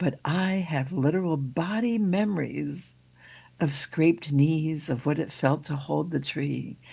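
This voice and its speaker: Deep and very low for a woman, her voice carries vocal fry and a dark, mellow tone, with ordinary pitch variation at a fairly slow pace. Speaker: minister. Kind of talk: sermon.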